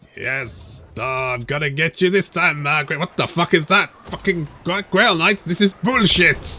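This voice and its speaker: A put-on character voice is performed at a moderate pace. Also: man, fairly high pitch for a man. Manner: menacing, theatrical.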